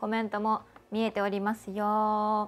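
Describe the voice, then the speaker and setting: A woman speaks in a cheerful tone at a fairly slow pace. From Kanagawa, Japan. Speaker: voice actor and show host. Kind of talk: casual talk to camera, livestream radio-style show. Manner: cheerful, chatty. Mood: cheerful, friendly. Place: studio. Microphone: lapel.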